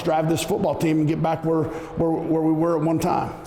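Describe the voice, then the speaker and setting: A man talks at a very fast pace in a fairly high pitch. Noticeable background noise sits behind him. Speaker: football coach. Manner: loud; animated.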